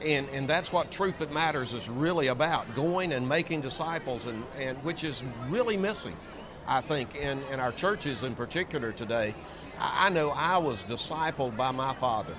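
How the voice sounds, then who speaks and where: Noticeable background noise sits behind a man whose pitch is fairly high, with ordinary pitch variation at a moderate pace. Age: 70s. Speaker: seminary president. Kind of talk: interview. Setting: convention floor.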